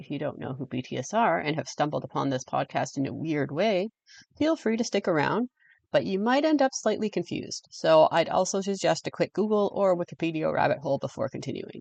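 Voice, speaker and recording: With a strong Canadian accent, a woman talks at a fairly quick pace with lively intonation, in a dry, close sound with no echo over a quiet background. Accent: heavy Canadian. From English-speaking Canada. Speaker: podcast host. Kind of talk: scripted podcast monologue.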